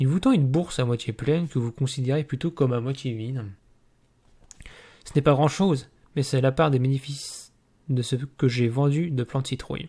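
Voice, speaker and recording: Dark and mellow in tone, the somewhat breathy voice leaves long, frequent pauses in a very clean recording with a silent background. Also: man, medium pitch for a man, fairly even intonation, moderate pace. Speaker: gamebook reading youtuber. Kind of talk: reading aloud; casual chat. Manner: monotone.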